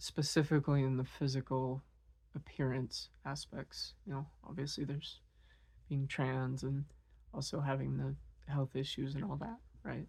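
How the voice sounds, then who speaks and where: A woman with a very deep, low pitch speaks at a moderate pace in a somewhat breathy, dark, mellow tone, with fairly even intonation and long, frequent pauses. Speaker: vlogger. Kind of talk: personal monologue. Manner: halting.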